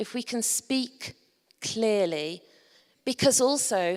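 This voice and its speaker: A woman talks with a Yorkshire accent. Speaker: conference presenter. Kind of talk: presentation to a conference audience. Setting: stage with audience.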